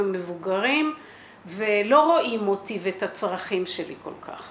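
Speaking at a very slow pace, a woman with a fairly high pitch is heard over noticeable background noise and audible room echo. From Israel, kibbutz. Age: 60s. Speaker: kibbutz founder. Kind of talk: interview.

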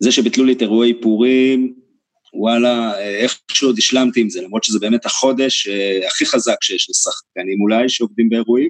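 A man's dry, close sound with no echo, at a medium pitch and moderate pace, with fairly even intonation. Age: 30s. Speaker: stage actor and playwright. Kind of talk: interview conversation.

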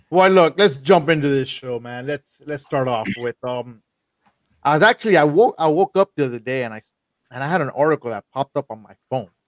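A man's fairly high, lively voice at a fairly quick pace, in a normal speaking voice with big swings in loudness and a dry, close sound with no echo. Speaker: podcast host. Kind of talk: casual group chat. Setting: video call.

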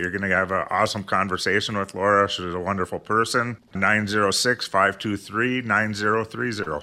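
On a very clean recording with a silent background, a man with an American accent and a fairly low pitch speaks in a bright, sharp tone at a moderate pace, with fairly even intonation and hardly any pauses. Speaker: financial advisor. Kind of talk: radio talk show.

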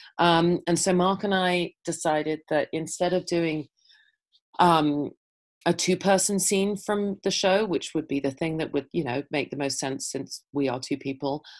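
This woman has an English accent and a fairly low pitch with ordinary pitch variation. She talks at a fairly slow pace against a quiet background. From England. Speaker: actor and playwright. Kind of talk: interview. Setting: video call.

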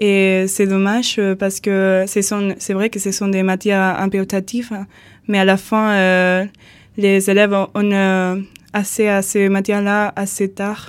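At a very slow pace, a woman speaks in a medium pitch with monotone, flat intonation and long, frequent pauses. The recording is very clean, with a silent background. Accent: Spanish. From Andalusia, Spain. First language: Spanish (speaking French). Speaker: volunteer. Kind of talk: radio interview. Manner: halting.

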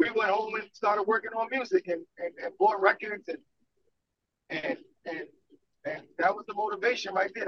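With an American accent, a man talks at a fairly quick pace in a high pitch, his intonation fairly even. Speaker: DJ.

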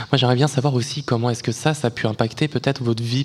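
There is noticeable background noise as a man talks at a medium pitch with fairly even intonation. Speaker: radio host. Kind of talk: live radio interview.

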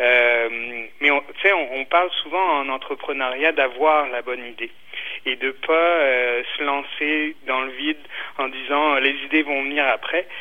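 A man at a very slow pace, fairly high pitch and fairly even intonation. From France (Brittany). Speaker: entrepreneur. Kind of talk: radio interview. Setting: phone call. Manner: halting, many repetitions.

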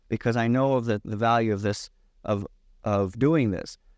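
Using a normal speaking voice, a man with an American accent talks at a medium pitch and a fairly quick pace, with ordinary pitch variation and a dry, close sound with no echo against a quiet background. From US Midwest (Michigan). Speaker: author. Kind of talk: interview.

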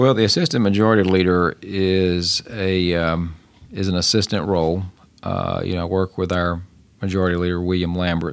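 A man with a very deep, low pitch, a moderate pace and fairly even intonation. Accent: West Tennessee. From Tennessee (Shelby and Fayette counties, near Memphis). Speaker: state politician. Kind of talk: interview.

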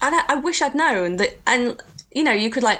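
A woman in an English accent, with noticeable background noise. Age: 30s. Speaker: heritage stonemason. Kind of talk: casual interview chat.

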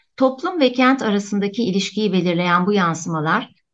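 With an unremarkable speaking voice, a woman talks at a moderate pace in a medium pitch with lively intonation. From Antakya, Turkey. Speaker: architecture professor. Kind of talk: radio interview, prepared talk.

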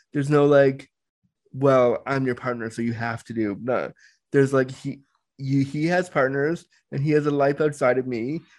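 With a quiet background, a man talks at a moderate pace in a plain, everyday voice, pitched fairly high and kept to a fairly even intonation. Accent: Canadian. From Toronto, Canada. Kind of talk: casual interview chat.

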